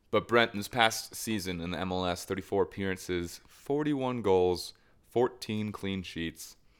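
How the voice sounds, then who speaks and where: With an American accent, a man with a normal speaking voice talks at a moderate pace and a fairly low pitch. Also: ordinary pitch variation. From United States. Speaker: football podcast co-host. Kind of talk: casual chat.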